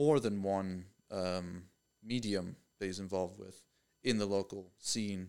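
In a very clean recording with a silent background, a man speaks in a normal speaking voice, fairly low in pitch, with fairly even intonation. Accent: American. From Pennsylvania, US. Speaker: mechanical design engineer and artist. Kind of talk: casual chat. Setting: office.

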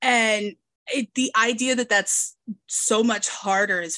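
In an American accent, a woman speaks fairly slowly with a fairly high pitch and a bright, sharp tone, the sound dry and close with no echo. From US Midwest and South. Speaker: podcast host. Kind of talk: casual interview chat. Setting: video call, international.

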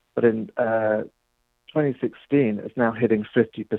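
A man's very slow speech in a British accent, with ordinary pitch variation. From England. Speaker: policy director guest. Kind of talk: radio interview.

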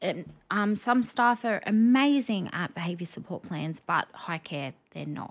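In an Australian accent, a woman at medium pitch speaks at a fairly slow pace with lively intonation. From Rockhampton, Queensland, Australia. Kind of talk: podcast interview. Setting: studio.

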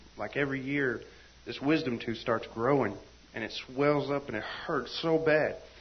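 In a somewhat breathy voice, a man talks with fairly even intonation. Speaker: church member. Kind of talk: testimony. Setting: church meeting with live audience.

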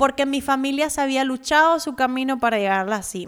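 A woman with a high voice talks on a very clean recording against a silent background. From Cuba, Havana. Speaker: podcast host, personal finance educator. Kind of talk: personal monologue.

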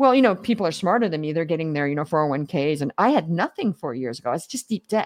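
A woman's animated, very fast speech with hardly any pauses and very wide pitch swings, in a dry, close sound with no echo. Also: fairly low pitch for a woman. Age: 50s. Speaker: business coach. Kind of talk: interview.

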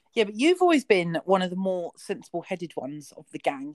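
A woman talks at a fairly quick pace in a plain, everyday voice, medium in pitch with ordinary pitch variation. The sound is dry and close, with no echo. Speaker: podcast host. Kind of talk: casual chat. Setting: online audio call.

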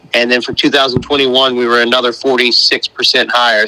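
A man speaks at a fairly slow pace with a slight North Carolina accent and a medium pitch. The sound is dry and close with no echo, though background noise is noticeable. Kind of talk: casual interview.

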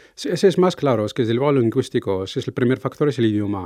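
This is a man talking. His pitch is medium. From Morocco. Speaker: intercultural mediator. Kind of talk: interview. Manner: halting, many fillers.

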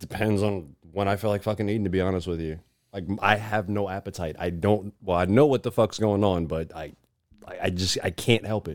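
A man with a normal speaking voice, fairly low in pitch, at a fairly quick pace with fairly even intonation. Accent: American. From New York City, the Bronx. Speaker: musician. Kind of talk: casual chat.

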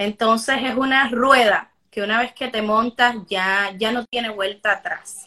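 A woman with a fairly high pitch speaks in an ordinary speaking voice. Her intonation stays fairly even. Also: hardly any pauses. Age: 20s. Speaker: life coach. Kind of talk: interview.

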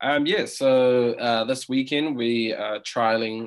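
A man speaks with a New Zealand accent. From New Zealand, Auckland. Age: 20s. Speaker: food business co-founder. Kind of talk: interview.

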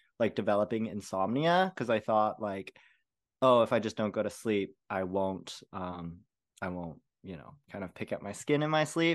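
An ordinary speaking voice from a man of fairly low pitch, at a moderate pace against a quiet background. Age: 30s. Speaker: BFRB and ADHD coach. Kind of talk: casual interview.

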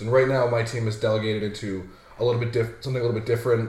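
Speaking with an American accent, a man of medium pitch keeps a monotone, flat intonation. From Massachusetts. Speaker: customer service worker at a betting company. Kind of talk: casual chat.

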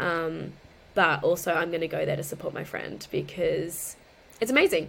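Moderate pace from a woman with an Australian accent. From Queensland, Australia. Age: 30s. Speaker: lingerie influencer and office worker. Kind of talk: casual interview chat.

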